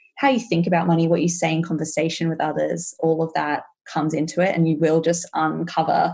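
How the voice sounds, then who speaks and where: The voice has a dark, mellow tone and an Australian accent. It moves at a very fast pace. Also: woman. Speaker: money mindset coach. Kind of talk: podcast interview.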